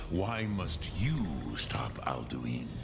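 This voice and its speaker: A man performs a put-on character voice with a very deep, low pitch. Loud background noise runs behind him. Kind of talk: dragon tongue mixed in. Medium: machinima. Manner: slow, solemn, archaic.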